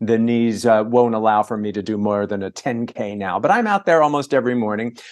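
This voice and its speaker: Against a quiet background, an unremarkable speaking voice moves at a fairly quick pace with fairly even intonation. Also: man, medium pitch for a man. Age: 60s. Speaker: entertainment reporter and author. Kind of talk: casual interview chat. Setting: video call. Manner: fast.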